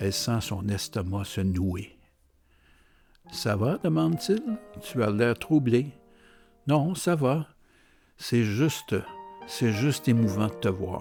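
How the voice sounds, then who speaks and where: With music in the background, a man at medium pitch speaks at a very slow pace with lively intonation and long, frequent pauses. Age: 70s. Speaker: novelist. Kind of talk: reading from own novel.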